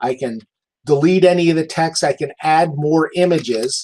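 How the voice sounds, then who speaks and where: A man with a fairly high pitch speaks at a moderate pace, his pitch varying in an ordinary way. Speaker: real estate agent. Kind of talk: tutorial. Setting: live webinar. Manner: animated.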